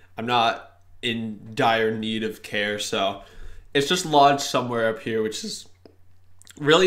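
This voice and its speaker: A man talks at a moderate pace with ordinary pitch variation, and the room echo is audible. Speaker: gaming youtuber. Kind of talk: gameplay commentary. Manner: casual, joking.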